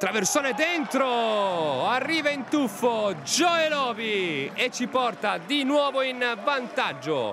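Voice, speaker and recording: Over noticeable background noise, a man in an extremely high pitch uses a raised, projected voice at a very slow pace, with lively intonation, very even loudness and hardly any pauses. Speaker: football commentator. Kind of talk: live sports commentary.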